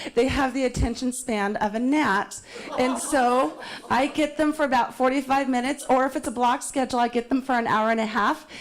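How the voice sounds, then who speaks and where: Over noticeable background noise, a woman with a high pitch speaks at a fairly quick pace, keeping her intonation fairly even and her loudness very even. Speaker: anti-trafficking educator. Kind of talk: public talk. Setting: city hall town meeting. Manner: calm.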